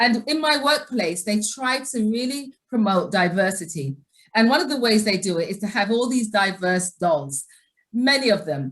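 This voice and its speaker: A woman with an English accent, fairly high in pitch, at a moderate pace with very wide pitch swings. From England. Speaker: nurse and educator. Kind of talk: webinar presentation.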